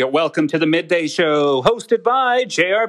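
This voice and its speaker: Noticeable background noise surrounds a man whose pitch swings very widely. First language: Cree. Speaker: podcast host and stand-up comedian. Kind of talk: casual chat.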